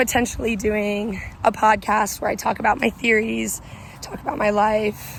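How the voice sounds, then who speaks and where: In an American accent, a woman with a fairly high pitch and vocal fry speaks at a moderate pace in a monotone, flat intonation. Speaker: vlogger. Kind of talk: casual vlog chat. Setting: outdoors on a walking trail.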